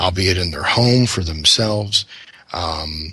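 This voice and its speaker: A man speaks with ordinary pitch variation. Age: 30s. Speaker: paranormal researcher and author. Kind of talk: casual interview. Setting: radio show with several hosts. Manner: halting, many fillers and repeats.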